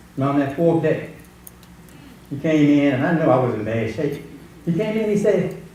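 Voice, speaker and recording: There is audible room echo as a man with a fairly high pitch speaks with lively intonation and long, frequent pauses. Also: moderate pace. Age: 60s. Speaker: pastor. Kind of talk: testimony.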